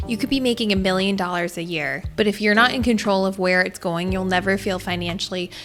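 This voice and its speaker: A woman's very fast, upbeat delivery with music in the background. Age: 30s. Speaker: lifestyle and personal finance vlogger. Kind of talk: scripted explainer narration. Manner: upbeat, conversational.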